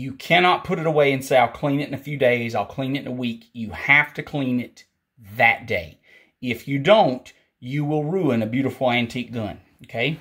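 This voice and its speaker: A man with a Southern US accent talks at a moderate pace and medium pitch, with ordinary pitch variation. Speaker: firearms instructor. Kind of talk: tutorial. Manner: casual.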